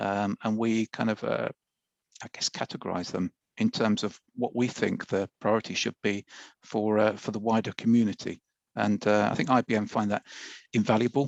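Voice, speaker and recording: With a British accent, a man speaks at a moderate pace in a fairly low, monotone voice with flat intonation. The sound is dry and close with no echo, over a quiet background. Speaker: IT expert presenter. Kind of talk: webinar presentation. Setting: live webinar.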